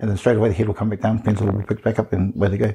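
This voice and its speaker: Somewhat breathy and dark, mellow in tone, a man with an Australian accent speaks at medium pitch. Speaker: podcast co-host, teacher. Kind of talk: casual chat.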